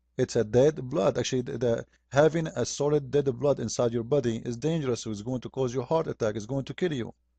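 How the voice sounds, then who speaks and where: A man with an Arabic accent speaks at a medium pitch with ordinary pitch variation and a dark, mellow tone. The sound is dry and close with no echo, over a quiet background. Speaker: religious critic. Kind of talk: polemic video commentary. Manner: animated.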